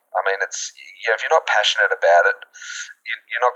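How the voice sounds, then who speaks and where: Very fast in pace, a man with an Australian accent is recorded with dry, close sound and no echo. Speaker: school alumnus. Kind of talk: interview. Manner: halting.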